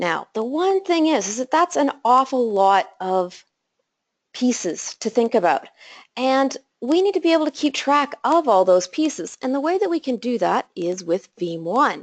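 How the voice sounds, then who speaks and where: A woman speaks with a high pitch at a moderate pace. Her pitch swings very widely, and the sound is dry and close with no echo. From Canada, Calgary. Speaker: systems engineer. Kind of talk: technical webinar presentation.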